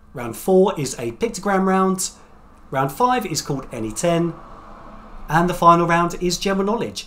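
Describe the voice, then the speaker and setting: There's a man talking at a moderate pace with lively intonation. Some light background noise can be heard. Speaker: quiz host. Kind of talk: quiz hosting. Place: home room.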